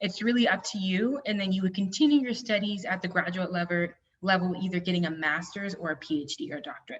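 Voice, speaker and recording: Somewhat breathy, a woman talks at a very fast pace with lively intonation. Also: medium pitch for a woman. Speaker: university admissions representative. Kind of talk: presentation.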